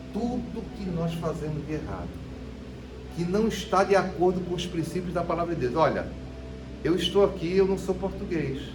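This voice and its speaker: Speech comes at a moderate pace with long, frequent pauses. Music sits in the background, with audible room echo. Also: man, high pitch for a man. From Brazil, Northeast (interior of Pernambuco). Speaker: preacher. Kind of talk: sermon. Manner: animated.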